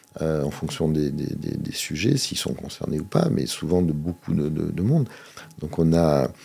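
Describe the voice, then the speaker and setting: A man speaks with a very deep, low pitch at a fairly slow pace. Noticeable background noise is present. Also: ordinary pitch variation. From Monaco. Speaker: local politician and association president. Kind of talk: interview. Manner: halting, frequent repetitions.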